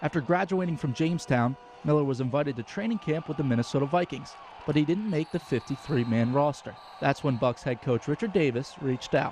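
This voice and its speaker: A man's fairly high, fairly quick voice with lively intonation over noticeable background noise. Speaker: sports anchor and reporter. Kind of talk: TV sports feature narration.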